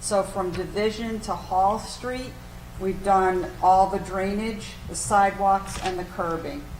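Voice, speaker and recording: Audible room echo surrounds a woman speaking in a medium pitch. She talks fairly slowly with monotone, flat intonation. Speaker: city development official. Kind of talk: meeting report. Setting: city council meeting. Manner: loud.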